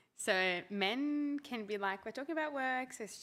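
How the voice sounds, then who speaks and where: Loud and lively in intonation, a woman speaks in a bright, sharp tone. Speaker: couples group talk leader. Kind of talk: group talk.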